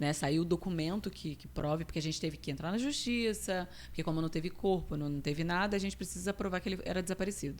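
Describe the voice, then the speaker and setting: A woman speaks very fast with hardly any pauses. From Rio de Janeiro state interior and Espírito Santo, Brazil. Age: 30s. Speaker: nutritionist. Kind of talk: casual interview.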